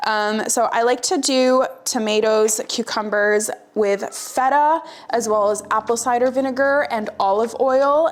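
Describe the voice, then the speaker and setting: A woman with a Canadian accent talks at a fairly slow pace with a fairly high pitch and lively intonation, against noticeable background noise. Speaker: nutrition vlogger. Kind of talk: casual vlog. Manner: casual with filler words.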